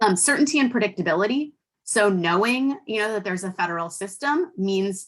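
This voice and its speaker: This is a woman speaking with an American accent. Her intonation is lively. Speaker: policy expert. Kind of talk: webinar presentation. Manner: fast.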